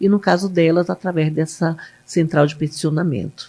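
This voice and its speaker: A woman is speaking. Her pace is moderate. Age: 60s. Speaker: public defender. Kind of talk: interview.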